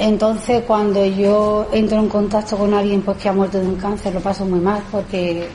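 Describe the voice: A woman speaks at a moderate pace and a medium pitch, her voice moving little in pitch, with audible echo in the room.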